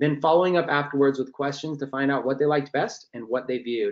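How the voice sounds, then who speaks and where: A man rattles along at a very fast pace, his pitch fairly high with ordinary variation. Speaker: online marketing trainer. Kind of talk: webinar training presentation. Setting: live online webinar.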